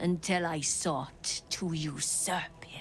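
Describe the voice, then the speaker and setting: A whispered, put-on character voice, female-sounding, at a very slow pace. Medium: video game. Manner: sardonic, weary.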